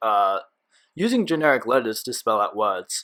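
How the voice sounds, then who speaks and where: The recording is very clean, with a silent background. A man with an Australian accent talks at a moderate pace. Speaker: gaming YouTuber. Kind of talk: gameplay commentary. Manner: stuttering, many fillers.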